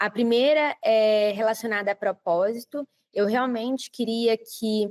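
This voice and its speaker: The recording is dry and close, with no echo. A woman with a Brazilian accent talks at a fairly slow pace, her fairly high pitch held in fairly even intonation. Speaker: project manager. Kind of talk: interview. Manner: frequent filler hesitations.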